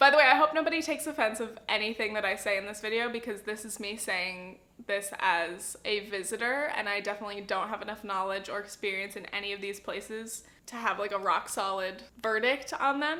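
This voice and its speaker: A woman in an American accent speaks at a fairly quick pace in a fairly high pitch, her bright, sharp tone showing ordinary pitch variation and big swings in loudness. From Southern California. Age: 20s. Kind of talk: casual talk to camera.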